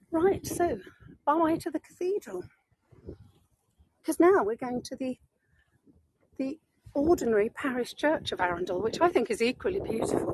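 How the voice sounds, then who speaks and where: With a northern English accent, a woman of high pitch speaks in an animated tone at a moderate pace, her very wide pitch swings broken by long, frequent pauses. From northern England. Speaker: tour guide. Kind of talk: live virtual walking tour. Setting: outdoors. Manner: chatty, animated.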